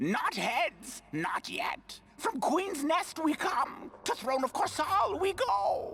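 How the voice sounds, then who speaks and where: The speaker uses a put-on character voice at an extremely high pitch with very wide pitch swings. Delivery is very slow, with hardly any pauses. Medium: video game. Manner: broken, clipped phrasing.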